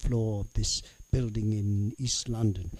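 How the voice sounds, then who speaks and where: On a very clean recording with a silent background, a man talks in a somewhat breathy voice. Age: 70s. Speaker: spoken word artist. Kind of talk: interview. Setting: studio. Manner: halting.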